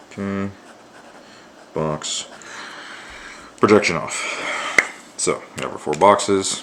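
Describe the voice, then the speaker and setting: A soft-spoken man whispers at a fairly slow pace, leaving long, frequent pauses. His loudness swings widely, and noticeable background noise runs underneath. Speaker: art student. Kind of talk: drawing tutorial. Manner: near whisper.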